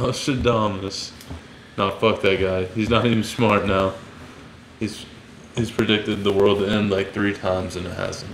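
A man's fairly low voice, flat and monotone, at a moderate pace, with long, frequent pauses and noticeable background noise. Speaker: fighter and podcast host. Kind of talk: casual chat over beers. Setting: recording in Florida, drinking beers. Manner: casual, profane.

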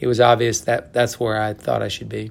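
Speaking with an American accent, a man has an unremarkable speaking voice at medium pitch with fairly even intonation. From Oklahoma. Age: 60s. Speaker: college golf coach. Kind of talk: interview.

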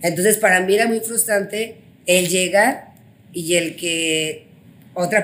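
A woman with ordinary pitch variation. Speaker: finance executive and business owner. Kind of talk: interview. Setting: hotel room.

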